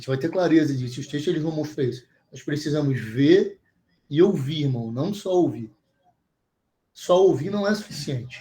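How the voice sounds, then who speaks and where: A man's somewhat breathy, dark, mellow voice at a fairly high pitch, with ordinary pitch variation, big swings in loudness and long, frequent pauses. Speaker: bible teacher. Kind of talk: online bible class. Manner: fast.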